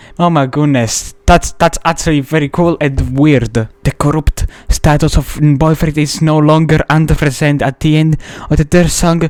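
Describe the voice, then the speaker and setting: A man with an Italian accent speaks at a fairly high pitch, his loudness very even and his intonation monotone and flat. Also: moderate pace. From Italy. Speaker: gaming youtuber. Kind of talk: casual video commentary. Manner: halting, hesitant.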